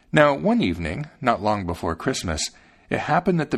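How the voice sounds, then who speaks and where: Vocal fry marks this voice, which moves at a moderate pace with very wide pitch swings. The recording is very clean, with a silent background. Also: man. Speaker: podcast host reading fairy tales aloud. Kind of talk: scripted fairy-tale narration, storybook reading aloud. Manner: measured, storyteller's pace, gently expressive.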